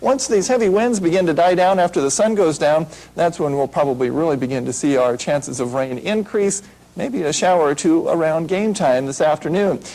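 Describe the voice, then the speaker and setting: High-pitched man with an American accent, fairly quick and lively in intonation. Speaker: TV weather anchor. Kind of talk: TV weather forecast.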